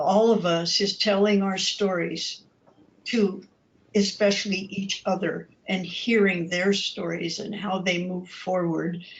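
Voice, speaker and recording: The voice is somewhat breathy and very slow. Its intonation is monotone and flat. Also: woman. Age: 70s. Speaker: clergy abuse survivor advocate. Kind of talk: panel discussion.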